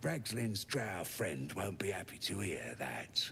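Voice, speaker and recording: Whispering in a put-on character voice at a fairly slow pace. Clear background noise is audible. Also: man. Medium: video game. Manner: sneering, crude.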